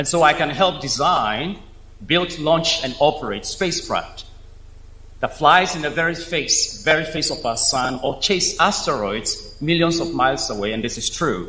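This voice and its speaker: A man with a fairly high pitch speaks at a moderate pace with ordinary pitch variation, with noticeable background noise and audible room echo. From Africa, Nile Valley region. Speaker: space engineer, invited speaker. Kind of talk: keynote speech. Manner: formal.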